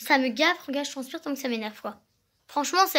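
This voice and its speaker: In a very clean recording with a silent background, a woman speaks very fast in a raised, projected voice, her tone bright and sharp, her pitch high with ordinary variation. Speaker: vlogger. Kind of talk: casual vlog monologue.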